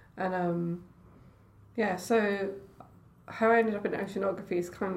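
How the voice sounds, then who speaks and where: With a Scottish accent, a woman speaks at a moderate pace and medium pitch, her intonation fairly even, amid audible room echo. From Scotland, Edinburgh. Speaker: oceanographer. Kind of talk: casual chat.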